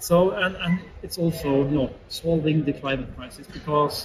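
A moderate pace with a Norwegian accent over noticeable background noise. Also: man. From Norway. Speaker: AI consultancy CEO; interview guest. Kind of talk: interview. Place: studio. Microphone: camera far.

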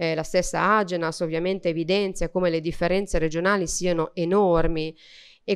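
A woman talks in a plain, everyday voice at a fairly low pitch and a moderate pace. Her intonation is fairly even, and the background is quiet. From Emilia-Romagna, Reggio Emilia; Emilia-Romagna. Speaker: member of parliament. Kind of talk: panel speech. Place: hall. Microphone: podium.

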